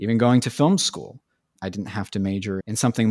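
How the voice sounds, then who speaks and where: A man speaks with a West Coast American accent and ordinary pitch variation. The recording is very clean and silent behind him, dry and close with no echo. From San Francisco Bay Area, California. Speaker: film graduate in entertainment industry. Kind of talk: casual interview conversation.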